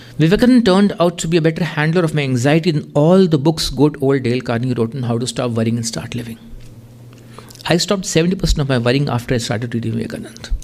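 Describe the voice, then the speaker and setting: A man talks at a very fast pace in a fairly high pitch, his intonation lively. Noticeable background noise can be heard. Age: 50s. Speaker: journalist and author. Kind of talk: lecture with reading aloud from own book.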